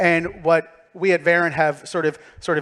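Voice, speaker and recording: A man with a Philadelphia accent and a fairly high pitch. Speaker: tech company speaker. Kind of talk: conference talk. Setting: stage with audience. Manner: conversational, animated.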